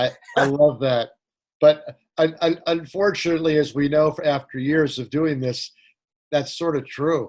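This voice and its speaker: A man with a fairly high pitch and fairly even intonation. It is a normal speaking voice. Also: fairly slow pace. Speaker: podcast host. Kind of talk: casual interview talk.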